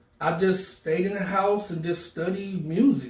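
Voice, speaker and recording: With an American accent and a high pitch, a man speaks in an animated tone over noticeable background noise. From North Carolina and Philadelphia. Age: 40s. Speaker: DJ and music producer. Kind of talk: interview.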